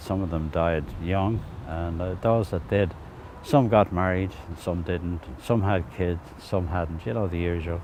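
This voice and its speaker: This man has a very deep, low pitch and speaks with a Dublin accent. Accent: Dublin Irish. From Dublin inner city. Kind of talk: oral history interview.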